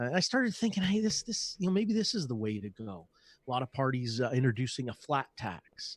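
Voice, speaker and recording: In a Canadian accent, a somewhat breathy voice moves at a fairly quick pace with very wide pitch swings, the sound dry and close with no echo. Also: man, medium pitch for a man. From Canada. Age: 40s. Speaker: podcast guest, anarchist activist. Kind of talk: casual interview.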